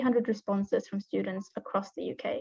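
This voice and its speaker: A woman with an American accent speaks at a fairly quick pace, her dark, mellow tone somewhat breathy and her pitch varying in an ordinary way. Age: 20s. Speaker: founder of a student organization. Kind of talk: presentation.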